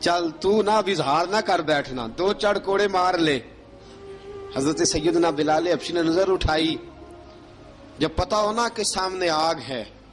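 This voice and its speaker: Music plays in the background as a man with a high pitch speaks with ordinary pitch variation. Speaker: Islamic preacher. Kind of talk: religious sermon recounting early Islamic history. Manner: emotional, dramatic storytelling.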